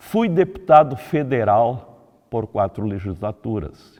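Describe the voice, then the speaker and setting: Fairly slow speech from a man with a dark, mellow tone. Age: 80s+. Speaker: retired politician. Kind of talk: political commentary monologue. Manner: formal.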